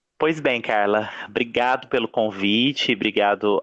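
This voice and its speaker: Fairly slow and fairly low-pitched, a man talks in a plain, everyday voice. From Minas Gerais, Brazil. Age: 20s. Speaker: music professor and singer. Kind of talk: podcast interview.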